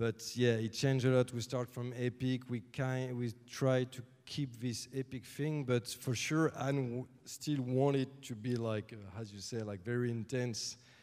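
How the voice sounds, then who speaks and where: With a French accent, a man speaks at a medium pitch and a fairly slow pace. His intonation stays fairly even, and he hardly pauses. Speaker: music composer. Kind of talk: Q&A with audience. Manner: halting.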